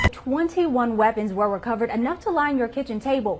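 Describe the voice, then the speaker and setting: A high-pitched woman with lively intonation at a fairly quick pace amid noticeable background noise. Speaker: TV news reporter. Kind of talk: broadcast news report.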